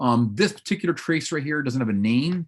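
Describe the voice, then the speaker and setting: The speaker is a man with a medium pitch. His pitch swings very widely. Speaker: paleontology professor. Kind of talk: lecture. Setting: webinar video call. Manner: fast; animated.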